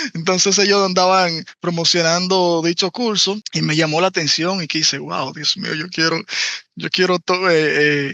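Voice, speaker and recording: A man's high-pitched voice, fairly slow and fairly even in intonation. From Dominican Republic, Santo Domingo. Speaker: interpreter. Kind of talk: interview.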